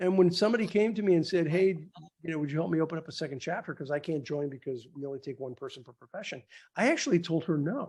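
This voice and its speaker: On a very clean recording with a silent background, a man talks very fast at a high pitch. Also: ordinary pitch variation. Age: 60s. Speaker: business networking organization founder. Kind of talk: interview conversation. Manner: halting, repeats words.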